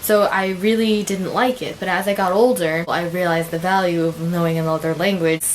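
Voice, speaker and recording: American-accented speech with hardly any pauses, fairly even intonation and noticeable background noise. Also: woman, fairly low pitch for a woman. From United States. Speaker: vlogger. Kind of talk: casual vlog talk. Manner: casual with many fillers.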